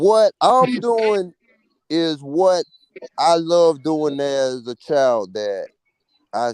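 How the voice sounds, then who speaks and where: With long, frequent pauses, a man speaks at a very slow pace and fairly high pitch, his voice swinging very widely in pitch over a dry, close sound with no echo. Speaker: streamer. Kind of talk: casual chat.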